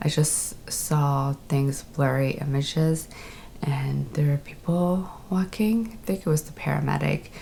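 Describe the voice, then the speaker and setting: Noticeable background noise sits behind a woman with a very deep, low pitch. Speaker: stroke survivor vlogger. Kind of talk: personal storytelling.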